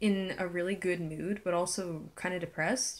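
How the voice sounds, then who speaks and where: A woman talks at a fairly slow pace. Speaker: vlogger. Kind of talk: personal vlog rant.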